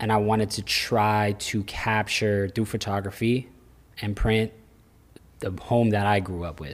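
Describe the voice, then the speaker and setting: In an ordinary speaking voice, the words come at a fairly slow pace with fairly even intonation. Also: man, fairly low pitch for a man. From Central Florida. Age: 30s. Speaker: clothing brand owner. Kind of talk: casual chat.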